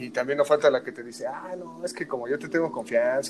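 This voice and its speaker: A man talks fairly quickly while noticeable background noise sits underneath. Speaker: podcast co-host. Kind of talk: casual chat.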